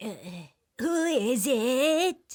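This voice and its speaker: A woman puts on a character voice. It sits high in pitch. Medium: read story.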